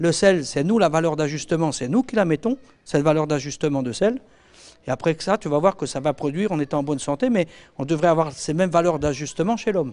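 This man talks at a fairly quick pace in a normal speaking voice. His fairly high pitch carries lively intonation. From France, Normandy and Alsace; France. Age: 50s. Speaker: veterinary and agronomy consultant; speaker. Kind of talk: lecture. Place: hall. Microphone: handheld.

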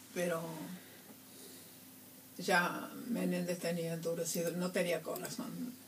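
A woman's very slow, fairly low voice with ordinary pitch variation, long, frequent pauses and light background noise. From Argentina (Córdoba). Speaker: human rights activist, grandmother of Plaza de Mayo. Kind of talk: radio interview answer. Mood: grave, recounting painful history. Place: studio.

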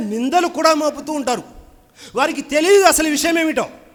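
A man's pitch varies in an ordinary way as he talks, with noticeable background noise in the recording. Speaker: Islamic preacher. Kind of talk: Islamic sermon / reminder. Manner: earnest, exhortative, speaking directly to the audience.

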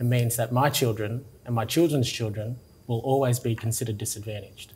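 A man speaks with an Australian accent and fairly even intonation. His voice is somewhat breathy. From Tingha, New South Wales, Australia. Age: young. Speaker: interviewee. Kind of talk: interview answer. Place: office. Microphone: lapel.

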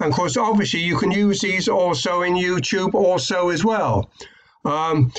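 The speaker has a British accent and a moderate pace. Pitch variation is ordinary. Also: man. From UK. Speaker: online marketing YouTuber; online marketing tutor. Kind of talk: tutorial. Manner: hesitant, many fillers. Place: home room. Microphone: webcam.

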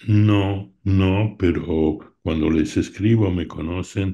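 Against a quiet background, a man speaks at a very slow pace with a very deep, low pitch, ordinary pitch variation and a dark, mellow tone. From Argentina. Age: 80s+. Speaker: art collector and opera enthusiast; interviewee. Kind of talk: interview reminiscence. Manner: halting. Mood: reminiscing, warm. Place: home room. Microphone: video call.

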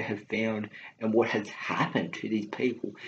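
A man talks at a moderate pace in a fairly low pitch, with an unremarkable speaking voice. Light background noise is present. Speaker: movie vlogger. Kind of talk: casual vlog chat. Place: home room. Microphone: webcam.

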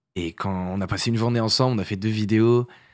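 A man speaks at a moderate pace with fairly even intonation. The sound is dry with no echo, over a quiet background. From northern France, Paris region (Essonne) for teens; northern France. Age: 20s. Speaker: content creator and musician; content creator. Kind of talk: casual interview chat; interview answer. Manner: hesitant, many fillers. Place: studio. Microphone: studio mic.

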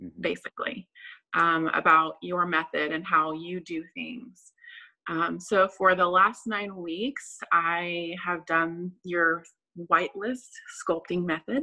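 A woman with a fairly low pitch and a bright, sharp tone speaks at a very slow pace. Her loudness swings widely against a quiet background. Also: ordinary pitch variation. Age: 30s. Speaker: nurse. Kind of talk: casual interview. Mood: friendly, reflective. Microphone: video call.

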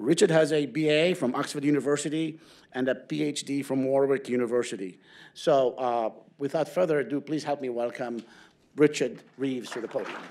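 Speaking at a moderate pace, a man with an ordinary speaking voice keeps a fairly high pitch and ordinary pitch variation. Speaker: center director introducing speaker. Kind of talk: formal introduction. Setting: stage with audience. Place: hall. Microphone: podium.

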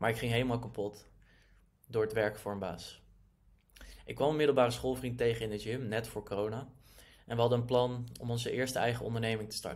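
With a medium pitch, a man speaks at a fairly quick pace in fairly even intonation, broken by long, frequent pauses, over a quiet background. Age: 20s. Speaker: online entrepreneur. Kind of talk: personal story monologue. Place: home room. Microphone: webcam.

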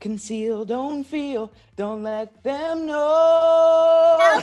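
A put-on character voice, female-sounding and high-pitched, at a very slow pace. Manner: restrained, regal.

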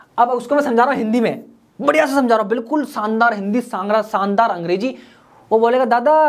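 The man's pitch is extremely high, with ordinary variation. The background is quiet. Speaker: communication skills trainer. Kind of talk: tutorial. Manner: fast; animated. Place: studio. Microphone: lapel.

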